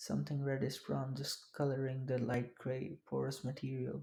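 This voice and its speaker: This speaker has a non-native accent. The pace is fairly slow. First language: not English. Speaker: audiobook narrator. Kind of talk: reading aloud.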